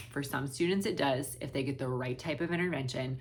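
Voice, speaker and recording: Audible room echo surrounds a woman whose very deep, low pitch carries vocal fry. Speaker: special education teacher and reading tutor. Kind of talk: Q&A talk to camera. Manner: halting, many fillers.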